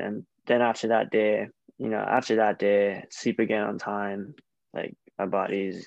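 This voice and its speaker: Using an American accent, a man speaks at a moderate pace. His voice is fairly low, with monotone, flat intonation. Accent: American, noticed by Australians. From Hawaii, Honolulu. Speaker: professional baseball player. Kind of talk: casual interview.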